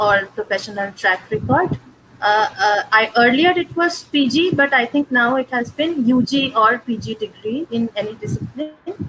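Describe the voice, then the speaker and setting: Against noticeable background noise, a woman with a Bengali accent speaks at a fairly high pitch. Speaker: past fellow. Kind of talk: webinar discussion.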